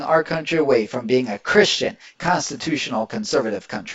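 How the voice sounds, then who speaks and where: A man with an American accent talks at a fairly quick pace, his pitch swinging very widely. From Indiana. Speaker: political commentator. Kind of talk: reaction video commentary. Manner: animated.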